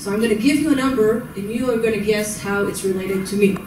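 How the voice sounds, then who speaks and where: A woman speaks at a medium pitch with an American accent and a fairly quick pace. Room echo is audible, and background noise is noticeable. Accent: American-tinged English. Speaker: social work professor. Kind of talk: conference lecture.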